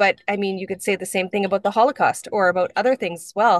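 In a normal speaking voice with a Canadian accent, a woman talks at a fairly quick pace with fairly even intonation, in dry sound with no echo against a quiet background. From northwestern Ontario, Canada (First Nations). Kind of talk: webinar conversation. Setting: video call. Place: car. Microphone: video call.

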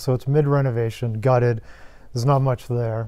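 Fairly even in intonation, a man speaks in a dark, mellow tone. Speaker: guest. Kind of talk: interview answer. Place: home room.

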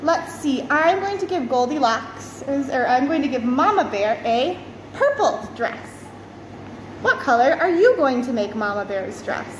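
A high-pitched woman at a fairly slow pace, with noticeable background noise. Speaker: teacher. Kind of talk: tutorial for young children. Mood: warm, cheerful, encouraging. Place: classroom. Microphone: phone near.

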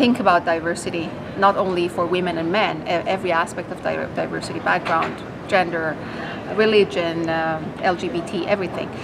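A woman speaks at a moderate pace, with noticeable background noise underneath. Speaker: startup co-founder and CTO. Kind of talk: interview about technology. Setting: expo interview. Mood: warm, enthusiastic. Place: hall.

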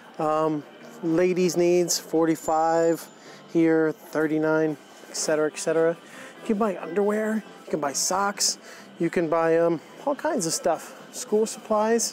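Speech comes at a very slow pace in a dry sound with no echo, with faint music in the background. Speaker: vlogger showing a store. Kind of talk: casual vlog chat. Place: shop. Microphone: phone near.

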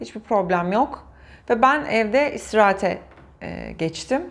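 Speaking at a very slow pace, a woman with a fairly high pitch lets her voice swing very widely up and down. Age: 40s. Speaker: patient sharing IVF story. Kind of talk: interview testimony. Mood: warm, emotional recollection. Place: studio.

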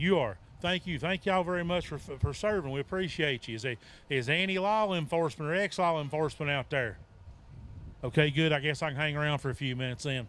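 With an Appalachian accent, a man speaks at a very fast pace with ordinary pitch variation, and the sound is dry with no echo. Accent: Appalachian Southern US. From Virginia (Appalachia). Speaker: author and Bigfoot researcher. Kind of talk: festival talk. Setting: outdoor festival with audience. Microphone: handheld.

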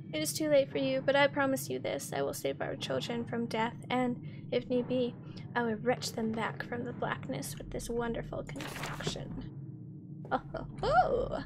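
Over noticeable background noise, a woman speaks with a very deep, low pitch. Her voice makes very wide pitch swings. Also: moderate pace. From Canada. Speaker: Twitch streamer playing horror games. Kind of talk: live game streaming commentary. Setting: livestream at home. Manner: casual, chatty, profane.

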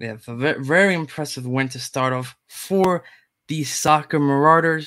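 The tone is fairly bright and the pace moderate. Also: man, fairly high pitch for a man, ordinary pitch variation.

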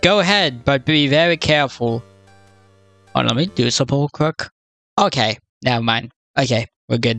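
Music plays in the background while a man talks at medium pitch and a moderate pace. He leaves long, frequent pauses, and the sound is dry and close with no echo. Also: ordinary pitch variation. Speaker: gaming youtuber. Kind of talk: let's play commentary. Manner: halting, stammering; reads game text aloud.

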